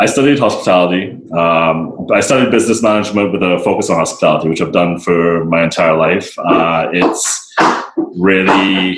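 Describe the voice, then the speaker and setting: A man with a very deep, low pitch speaks at a moderate pace with ordinary pitch variation and very even loudness. Audible room echo and noticeable background noise surround him. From Barbados. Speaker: sustainability advocate and restaurant worker. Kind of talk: podcast interview.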